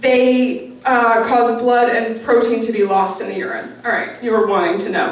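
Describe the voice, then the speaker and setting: A woman speaks with an American accent at a fairly high pitch and ordinary pitch variation. Audible room echo and noticeable background noise are present. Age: 20s. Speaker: storyteller. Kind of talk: storytelling performance. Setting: stage with audience. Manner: halting, many um fillers.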